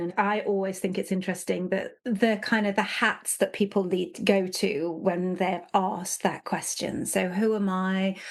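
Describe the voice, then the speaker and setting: A woman with an English accent and medium pitch, at a fairly slow pace over a quiet background. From England, Nottingham. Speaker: leadership consultant. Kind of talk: podcast interview.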